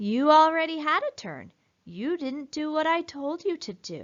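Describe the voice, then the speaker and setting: A put-on character voice at a moderate pace, with big swings in loudness. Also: woman, high pitch for a woman, ordinary pitch variation. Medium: read story. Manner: brisk, businesslike.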